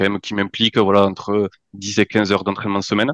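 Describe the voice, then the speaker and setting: With no echo, the sound stays dry and close, and the background is quiet. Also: man. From French Pyrenees. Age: 30s. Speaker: amateur trail runner, listener. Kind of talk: podcast interview. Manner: halting, many hesitations.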